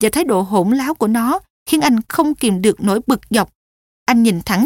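Over a quiet background, the speaker reads aloud plainly with lively intonation.

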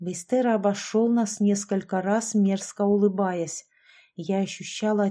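The voice reads in an unforced way, keeping its intonation fairly even.

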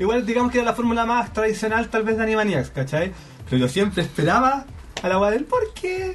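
A man with a high pitch and a Chilean accent speaks at a fairly quick pace with very wide pitch swings and very even loudness, over noticeable background noise. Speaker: podcast guest. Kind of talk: casual chat.

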